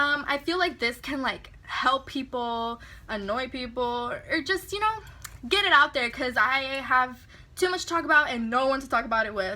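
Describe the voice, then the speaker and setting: Lively intonation marks this woman's high-pitched speech. She talks at a moderate pace in a raised, projected voice. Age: 20s. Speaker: vlogger. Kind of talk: casual rant vlog.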